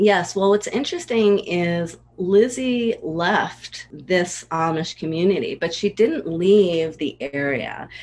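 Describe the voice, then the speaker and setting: Speaking very slowly with hardly any pauses, a woman of medium pitch uses lively intonation. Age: 40s. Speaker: ghostwriter and memoir coach. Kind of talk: interview.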